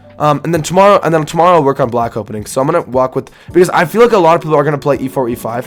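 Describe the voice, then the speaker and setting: The words come at a very fast pace with ordinary pitch variation, and noticeable background noise underneath. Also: man. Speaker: chess streamer. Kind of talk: casual commentary while training chess. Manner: halting, stutters.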